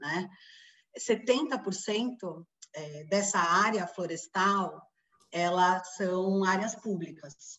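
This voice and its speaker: A woman talks at a very slow pace, her loudness swinging widely. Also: medium pitch for a woman, ordinary pitch variation. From Brazil, São Paulo. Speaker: forest engineer, NGO coordinator. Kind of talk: podcast interview.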